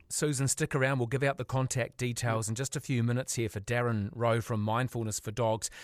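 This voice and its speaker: Talking very fast with hardly any pauses, a man comes through on a very clean recording with a silent background and a dry, close sound free of echo. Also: medium pitch for a man, fairly even intonation. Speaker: radio host. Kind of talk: radio interview. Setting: radio studio.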